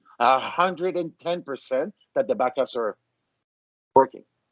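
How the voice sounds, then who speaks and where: The speaker uses a slight French accent and vocal fry at a moderate pace. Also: man. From France. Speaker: vendor presenter. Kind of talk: webinar presentation. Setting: online webinar. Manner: animated.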